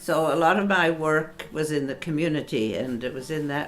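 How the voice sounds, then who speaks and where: There is audible room echo. A woman is speaking. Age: 80s+. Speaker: board member and community activist. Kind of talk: interview testimony.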